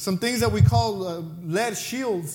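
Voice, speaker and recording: In a Mexican accent, a man speaks. His pace is moderate. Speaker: pastor. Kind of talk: sermon. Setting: church.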